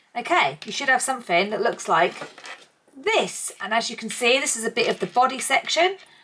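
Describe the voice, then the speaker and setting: In an East Anglian accent, a woman talks at a fairly quick pace. Her pitch is high and swings very widely. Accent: English (East Anglia). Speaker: crochet tutor. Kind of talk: tutorial. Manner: casual, chatty.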